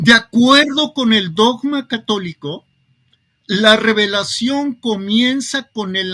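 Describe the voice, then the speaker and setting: A man speaks at a high pitch with a bright, sharp tone and lively intonation. His pace is very slow, and the sound is dry and close with no echo. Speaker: commentator on religion. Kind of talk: interview.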